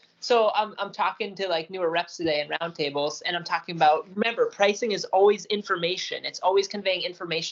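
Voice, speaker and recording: This woman has an unremarkable speaking voice, talking at a fairly quick pace with a medium pitch. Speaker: podcast co-host. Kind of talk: casual chat.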